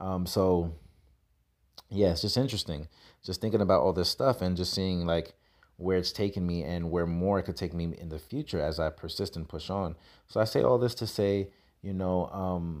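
In a New York accent, a man with a very deep, low pitch speaks at a moderate pace on a very clean recording with a silent background. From New York City (Brooklyn, Queens). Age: 30s. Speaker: podcast host. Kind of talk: solo monologue, motivational talk. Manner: casual, hesitant with fillers.

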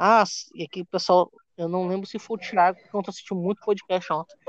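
Here a man speaks very fast in a high voice with fairly even intonation. The recording sounds dry and close, with no echo. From Maranhão, Brazil. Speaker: stand-up comedian. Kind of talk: casual chat. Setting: remote call.

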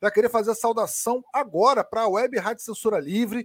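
Heard dry and close with no echo, a man speaks at a high pitch. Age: 30s. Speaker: football podcast host. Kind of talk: casual chat. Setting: live stream.

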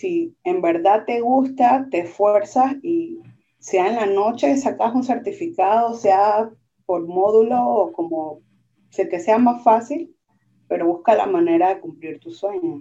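Speaking at a very slow pace, a woman with a fairly high pitch and a dark, mellow tone makes very wide pitch swings. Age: 30s. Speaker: merchant marine graduate and nightclub worker. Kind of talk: casual interview chat.

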